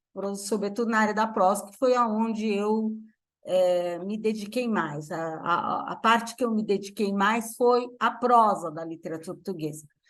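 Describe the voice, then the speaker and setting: Audible room echo surrounds a woman's fairly high voice as she speaks at a fairly slow pace with ordinary pitch variation. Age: 70s. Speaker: literature professor. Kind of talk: lecture. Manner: halting.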